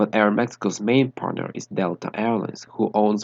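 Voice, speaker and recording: Against a quiet background, a man speaks with a Spanish accent. His fairly low voice sounds dry and close, without echo. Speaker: aviation enthusiast YouTuber. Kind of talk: narrated airline analysis.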